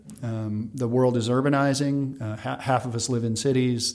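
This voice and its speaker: A man's plain, everyday voice, medium in pitch, fairly even in intonation and at a fairly quick pace. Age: 40s. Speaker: food company founder. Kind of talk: interview.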